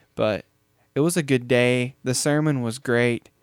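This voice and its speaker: The voice is a normal speaking voice with fairly even intonation at a fairly slow pace. The sound is dry and close, with no echo. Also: man. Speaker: podcast host. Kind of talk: casual chat.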